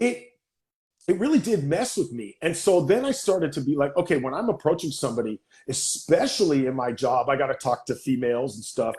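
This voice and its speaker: Against a quiet background, a man speaks fairly quickly at a fairly high pitch, somewhat breathy. His tone is animated, with very wide pitch swings. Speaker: actor and talk show host. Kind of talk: casual chat. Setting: live video stream.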